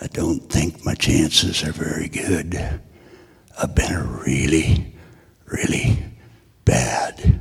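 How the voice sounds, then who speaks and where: A man whispers in a put-on character voice. It sounds raspy and moves at a fairly slow pace. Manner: quiet, subdued, grim.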